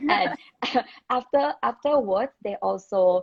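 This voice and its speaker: A woman with a Thai accent at a fairly slow pace. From Thailand, Bangkok. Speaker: former international student. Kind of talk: interview chat. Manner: halting, many fillers.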